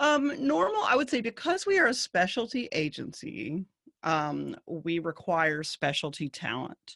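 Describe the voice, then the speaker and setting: A woman with a Southern US accent speaks at a fairly slow pace. The sound is dry and close, with no echo. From US South. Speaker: agency CEO. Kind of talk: casual interview chat.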